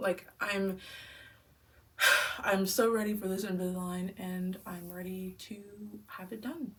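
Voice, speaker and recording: At a fairly slow pace, a woman speaks with long, frequent pauses and big swings in loudness. Her pitch is medium, her intonation fairly even, and background noise is noticeable. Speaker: vlogger. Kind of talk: casual vlog.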